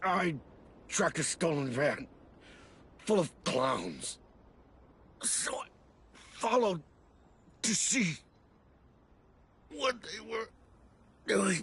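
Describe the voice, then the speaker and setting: Raspy and put-on, this character voice moves at a very slow pace with long, frequent pauses and very wide pitch swings. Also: man, high pitch for a man. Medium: video game.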